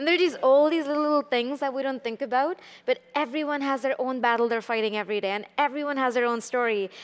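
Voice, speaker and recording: A woman with an Indian accent talks at a very fast pace, with hardly any pauses, high pitch, and ordinary pitch variation. The recording is very clean with a silent background. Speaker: tech startup founder. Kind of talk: panel discussion. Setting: stage with audience.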